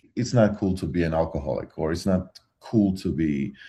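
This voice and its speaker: The voice has a dark, mellow tone and a Georgian accent. It moves at a fairly slow pace with ordinary pitch variation. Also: man. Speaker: metal musician. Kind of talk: interview. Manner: halting.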